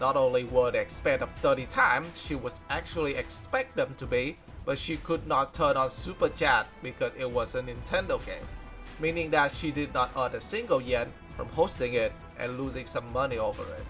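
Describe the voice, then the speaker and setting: A man with a non-native accent speaks at a moderate pace. Music plays in the background. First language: non-native English speaker. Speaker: fan news presenter. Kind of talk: news recap narration.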